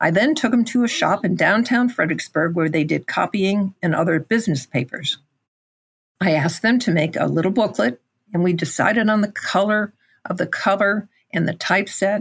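Somewhat breathy, a woman with an American accent speaks at a medium pitch and moderate pace with lively intonation. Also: very even loudness. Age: 80s+. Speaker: writer and illustrator. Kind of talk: casual interview chat; reading aloud own story.

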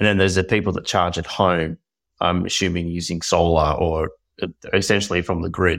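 A man with an Australian accent speaks at a very deep, low pitch. He moves at a fairly quick pace in a monotone, flat way. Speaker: podcast co-host. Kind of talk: casual interview. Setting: video call.

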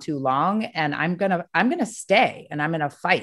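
With lively intonation at a moderate pace, this is a normal speaking voice over a quiet background. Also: woman. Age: 50s. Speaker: podcast host, therapist. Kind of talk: casual chat.

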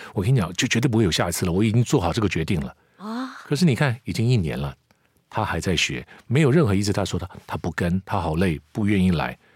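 On a very clean recording with a silent background, a man with a fairly low pitch and vocal fry talks at a very fast pace with very wide pitch swings. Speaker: commercial voice actor, former news anchor. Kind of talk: casual interview.

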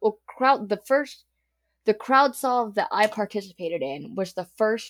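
In a normal speaking voice, a woman with an American accent talks at a medium pitch and a fairly slow pace on a very clean recording with a silent background. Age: 30s. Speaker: murder victim's daughter. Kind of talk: interview testimony. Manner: casual with fillers.

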